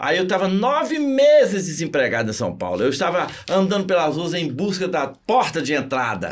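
With audible room echo, a man speaks at a high pitch in an animated tone, his pitch swinging very widely. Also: moderate pace. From Minas Gerais, Brazil (Zona da Mata). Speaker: physics teacher and motivational speaker. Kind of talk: interview.

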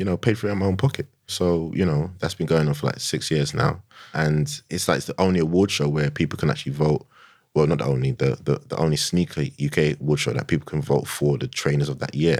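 With a London accent, a man talks very fast in a very deep, low voice with ordinary pitch variation. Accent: London, Multicultural London English. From London, Tottenham. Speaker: sneaker influencer and digital marketer. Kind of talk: casual interview. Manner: animated.

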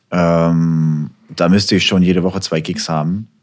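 A man's very deep, low voice at a fairly slow pace with fairly even intonation. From Hamburg, northern Germany. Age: 30s. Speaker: music producer. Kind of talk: casual interview.

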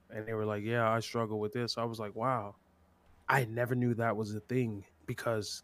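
A man with an American accent speaks at a moderate pace, fairly low-pitched and monotone, with flat intonation. The recording is very clean, with a silent background. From California. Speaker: streamer. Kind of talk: casual chat.

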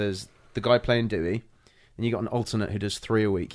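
The speaker talks very fast with a London accent and fairly even intonation. The recording is very clean, with a silent background. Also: man. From England (London), born in Ireland. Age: 30s. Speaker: stage and TV actor. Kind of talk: casual chat. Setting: in-person studio.

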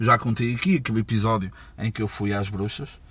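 A man with a European Portuguese accent, animated in tone. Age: 30s. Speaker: podcast host. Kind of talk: casual monologue. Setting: mobile studio.

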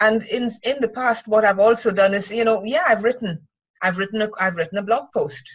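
A woman's fairly high-pitched voice, an ordinary speaking voice. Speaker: writer and writing mentor. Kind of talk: casual chat. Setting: video call.

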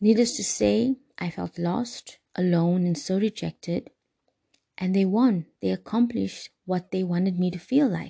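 A somewhat breathy woman's voice at medium pitch, dark and mellow yet warm and soothing in tone, with lively intonation at a fairly slow pace, in a dry, close recording with no echo. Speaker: podcast host, wellness guide. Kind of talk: guided meditation and self-help talk. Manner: warm, soothing, earnest.

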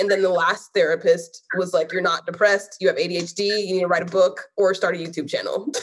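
This woman talks at a fairly quick pace with hardly any pauses, her pitch sitting in the medium range. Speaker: artist and guest. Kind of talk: casual interview. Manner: intense, convicted.

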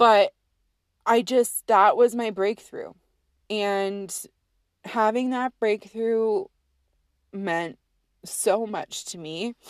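A very slow delivery with long, frequent pauses, big swings in loudness and fairly even intonation, recorded dry and close with no echo against a quiet background. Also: woman, fairly high pitch for a woman. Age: 30s. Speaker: podcast host. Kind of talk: solo personal monologue.

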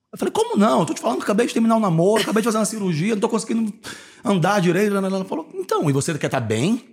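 This man talks at a very fast pace with a high pitch. His pitch swings very widely. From Brasília, Brazil. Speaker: podcast host. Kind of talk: casual chat.

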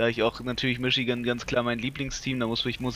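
The speaker is male. His voice is pitched in the medium range. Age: 20s. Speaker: podcast co-host, football coach. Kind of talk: casual chat.

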